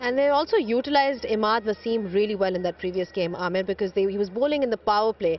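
At a fast pace, a woman talks at a medium pitch with ordinary pitch variation.

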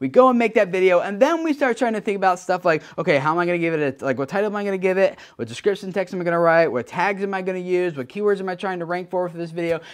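A man with a high-pitched, energetic voice talks very fast with hardly any pauses and ordinary pitch variation over a quiet background. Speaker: YouTube creator educator. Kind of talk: video news roundup. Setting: talking to camera. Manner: fast talker. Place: home room.

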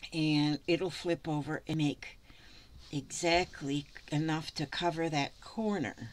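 Someone with an American accent speaks at a very slow pace with fairly even intonation. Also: woman, very deep, low pitch for a woman. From US. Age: 70s. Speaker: craft vlogger. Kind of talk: casual tutorial. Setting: home craft room. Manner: chatty, rambling. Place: home room. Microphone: phone near.

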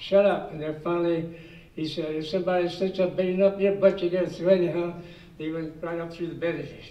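The voice comes at a fairly quick pace in a monotone, flat intonation, with big swings in loudness and audible room echo. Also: man, high pitch for a man. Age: 80s+. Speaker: war veteran. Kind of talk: personal war story told to an audience. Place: meeting room. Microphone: podium.

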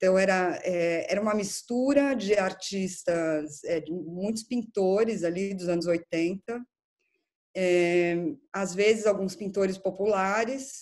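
At a very slow pace, a woman speaks in a medium pitch with ordinary pitch variation. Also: quiet background. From Brazil, São Paulo. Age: 40s. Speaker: art curator; interviewee. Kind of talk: interview. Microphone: video call.

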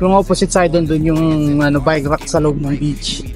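A man's voice sounds dry with no echo, with faint music in the background. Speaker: cycling vlogger. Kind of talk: casual vlog chat. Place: bicycle. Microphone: phone near.

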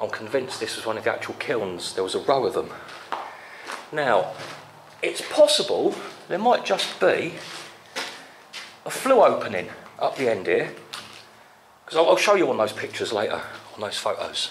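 Speaking at a moderate pace, a man leaves long, frequent pauses over light background noise. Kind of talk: casual exploration commentary. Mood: curious, musing. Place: tunnel cave. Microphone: phone near.

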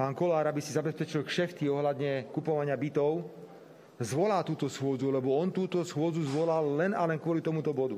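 With a dark, mellow tone, a man speaks at a moderate pace in fairly even intonation. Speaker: party politician. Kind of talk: press conference statement. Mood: indignant, combative. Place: hall. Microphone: headset.

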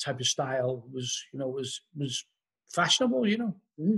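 Against a quiet background, a man with a Liverpool accent talks at a moderate pace with lively intonation. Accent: Scouse (Liverpool). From Liverpool, England. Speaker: musician and author; podcast guest. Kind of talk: casual interview chat. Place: home room. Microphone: video call.

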